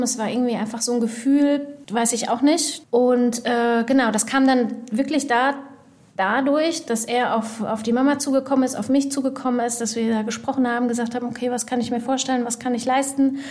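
Fairly quick, high-pitched speech from a woman, monotone and flat, with audible room echo. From Germany and Ivory Coast. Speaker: magazine editor. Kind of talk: interview.

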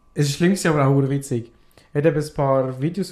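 Talking at a very fast pace, a man with a fairly high pitch sounds somewhat breathy, his intonation fairly even. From Afghanistan. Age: 20s. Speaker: podcast guest. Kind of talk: casual chat.

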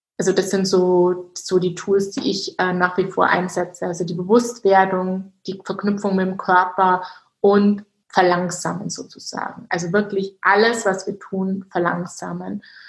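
A woman talks fairly slowly at a medium pitch, her intonation monotone and flat. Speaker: mindset coach. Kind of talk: interview.

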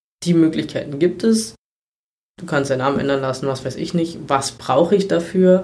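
Here a man talks with ordinary pitch variation. His pitch sits fairly high. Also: moderate pace. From Brandenburg, Germany. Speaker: volunteer firefighter. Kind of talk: interview. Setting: in person at guest's town. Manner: hesitant with many fillers.

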